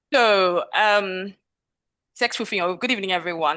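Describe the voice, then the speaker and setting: Her tone bright and sharp, a woman speaks at medium pitch with ordinary pitch variation against a quiet background. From southeastern Nigeria. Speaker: development expert and speaker. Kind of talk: webinar presentation. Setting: video call. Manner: fast.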